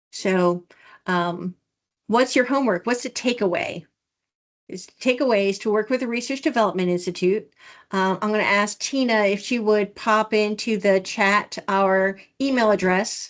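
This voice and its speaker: A woman talks in a normal speaking voice at medium pitch. Her pace is moderate and the background quiet. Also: ordinary pitch variation. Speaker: research development director. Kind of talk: office hour presentation on video call.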